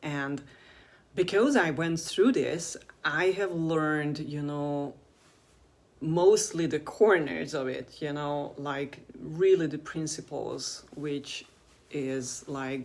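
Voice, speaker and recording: A woman with a non-native accent, a very deep, low pitch, ordinary pitch variation and a very slow pace. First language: not English. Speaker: video blogger on alternative health. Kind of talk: casual monologue to camera. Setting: in front of a camera. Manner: halting, many fillers.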